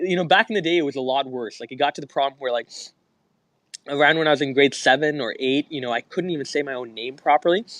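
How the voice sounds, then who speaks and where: A man with a fairly high pitch speaks at a very fast pace, his pitch variation ordinary. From Canada. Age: 20s. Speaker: young entrepreneur. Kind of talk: interview. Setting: podcast interview. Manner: animated.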